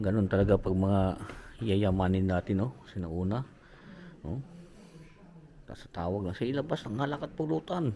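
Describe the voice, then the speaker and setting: This man speaks at a moderate pace with fairly low pitch and lively intonation, leaving long, frequent pauses. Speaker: travel vlogger. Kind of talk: travel vlog narration. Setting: indoors, historic house tour. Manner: loud; hushed.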